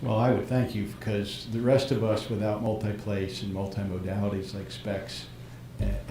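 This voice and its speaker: A man speaks with fairly even intonation. There is audible room echo and noticeable background noise. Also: fairly low pitch for a man, moderate pace. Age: 60s. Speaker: practitioner asking questions. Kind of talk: live stream Q&A.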